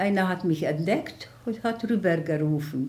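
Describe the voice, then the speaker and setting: Over audible room echo, a woman with a Hungarian accent speaks at a fairly low pitch. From Hungary, Budapest. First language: Hungarian (speaking German). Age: 90s. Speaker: Holocaust survivor. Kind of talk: interview testimony. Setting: at home.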